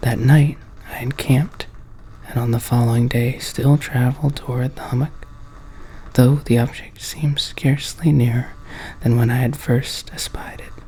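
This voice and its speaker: A soft-spoken voice carries at a moderate pace while noticeable background noise fills the clip. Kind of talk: horror story reading aloud from a book.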